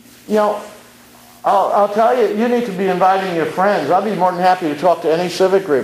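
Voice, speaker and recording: Someone speaks at a fairly quick pace with an American accent and ordinary pitch variation over noticeable background noise. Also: man, high pitch for a man. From Brooklyn, New York. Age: 60s. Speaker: community activist speaker. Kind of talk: public speech at community meeting. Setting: community meeting.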